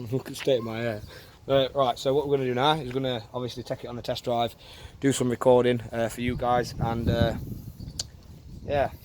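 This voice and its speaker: A man talks at a fairly quick pace in a monotone, flat intonation, with long, frequent pauses. Noticeable background noise runs underneath. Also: medium pitch for a man. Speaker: car DIY youtuber. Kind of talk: tutorial. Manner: loud.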